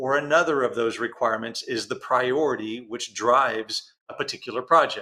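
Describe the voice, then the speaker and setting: The voice has a bright, sharp tone. It comes with a Texan accent. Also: man. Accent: Texan American. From Texas. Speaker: interview host. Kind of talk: interview. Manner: fast.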